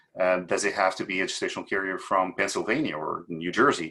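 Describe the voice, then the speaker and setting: This is a man speaking with a Portuguese accent. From Portugal. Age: 50s. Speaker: fertility doctor. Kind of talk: panel presentation.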